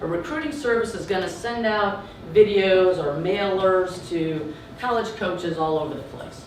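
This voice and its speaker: With a slight Southern US accent, a woman at medium pitch speaks with lively intonation and big swings in loudness, amid audible room echo and noticeable background noise. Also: moderate pace. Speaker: entrepreneur and former college coach. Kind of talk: startup pitch.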